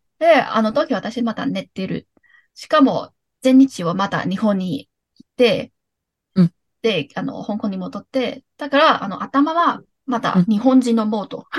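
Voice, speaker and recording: The voice is somewhat breathy, with a Cantonese accent and lively intonation at a fairly slow pace. Loudness swings widely, and the sound is dry and close with no echo. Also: woman, fairly high pitch for a woman. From Hong Kong. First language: Cantonese (speaking Japanese). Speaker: podcast guest, former sharehouse mate. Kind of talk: casual chat.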